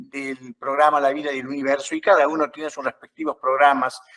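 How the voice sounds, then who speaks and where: An ordinary speaking voice in a dry, close sound with no echo. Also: man. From Uruguay. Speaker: journalist and moderator. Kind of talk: panel interview moderation.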